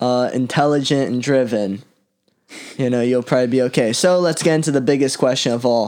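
An ordinary speaking voice from a man with an American accent, medium in pitch with ordinary pitch variation, fairly quick in pace and very even in loudness. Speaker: podcast host. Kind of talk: casual chat.

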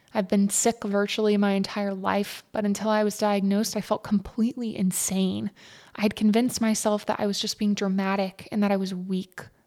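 A woman speaks at a fairly quick pace in a dark, mellow tone with monotone, flat intonation. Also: medium pitch for a woman. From Texas, Fort Worth area. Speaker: podcast host. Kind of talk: personal storytelling narration. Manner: scripted, read-aloud delivery.

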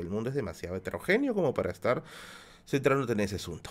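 With lively intonation, a man races along at a very fast pace. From Peru, Lima (Villa El Salvador). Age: 30s. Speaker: YouTube streamer. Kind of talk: live stream Q&A with chat.

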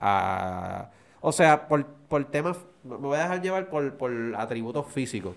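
A man speaks at a fairly slow pace in an ordinary speaking voice, pitched fairly high. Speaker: podcast co-host. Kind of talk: casual chat.

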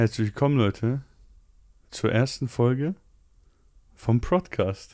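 On a very clean recording with a silent background and a dry, close sound with no echo, a man speaks at a very slow pace with long, frequent pauses, in a dark, mellow tone at medium pitch with ordinary pitch variation. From Poland. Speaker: podcast host. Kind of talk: casual chat.

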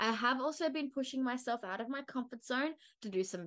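A woman with an Australian accent speaks at a high pitch. Her pace is fairly quick. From Australia, Brisbane. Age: 20s. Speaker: wellness podcaster and media student. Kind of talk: scripted solo podcast monologue.

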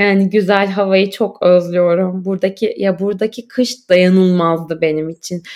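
A woman speaks in a normal speaking voice at a moderate pace. Her intonation is fairly even, and the recording is very clean with a silent background. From Turkey, Istanbul. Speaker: graduate student and podcaster. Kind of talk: casual interview chat.

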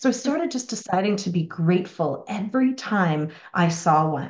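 At a moderate pace, a woman speaks with a medium pitch and a slight Irish accent. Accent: slight Irish lilt. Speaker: spiritual teacher and mentor. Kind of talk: casual interview conversation about spirituality. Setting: video call.

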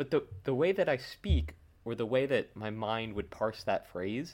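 A man speaks at a medium pitch. His voice moves through very wide pitch swings. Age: 20s. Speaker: film podcast co-host. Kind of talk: casual chat.

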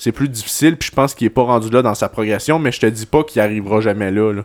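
Speech comes at a very fast pace with ordinary pitch variation. The sound is dry and close, with no echo. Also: man. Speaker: football podcast co-host. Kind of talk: casual chat.

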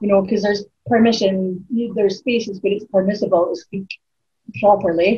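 A woman in a northeast Scottish accent, medium in pitch and somewhat breathy, at a fairly quick pace with fairly even intonation. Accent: Scottish (north-east). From Aberdeen, Scotland. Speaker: spoken word poet. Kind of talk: casual interview chat.

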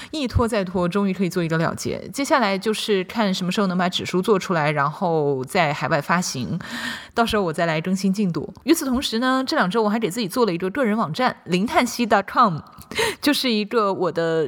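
At a fairly quick pace, a woman with an unremarkable speaking voice talks at medium pitch with lively intonation. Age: 30s. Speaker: podcast host and writer. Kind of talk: personal monologue.

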